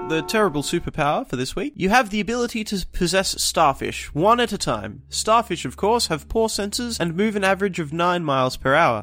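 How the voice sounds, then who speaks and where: Very wide pitch swings and a fairly quick pace, with a British accent. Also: man. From Britain. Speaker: podcast host. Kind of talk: casual chat.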